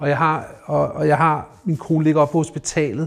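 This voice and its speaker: The man's fairly high voice stays monotone and flat as he talks at a fairly slow pace. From Denmark, North Zealand (Rungsted). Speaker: recovering alcoholic, investor. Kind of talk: personal testimony in interview. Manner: halting, many repeated words.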